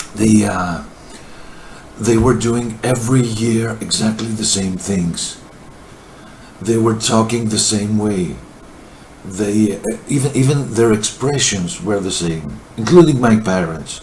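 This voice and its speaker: A man with a Greek accent, a fairly low pitch and ordinary pitch variation, at a fairly slow pace with long, frequent pauses, plus noticeable background noise and audible room echo. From Greece, countryside. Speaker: video testimony contributor. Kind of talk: personal testimony. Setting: recorded to camera. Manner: halting, hesitant.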